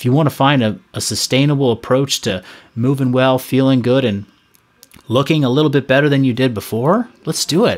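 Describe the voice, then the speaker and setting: An unremarkable speaking voice belongs to a man who talks at a fairly quick pace and medium pitch with ordinary pitch variation. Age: 30s. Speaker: fitness coach and former competitive athlete. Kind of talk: casual chat.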